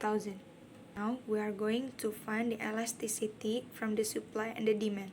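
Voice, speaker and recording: Speaking with a non-native accent, a woman uses a fairly high pitch. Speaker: university student. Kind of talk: tutorial. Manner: halting.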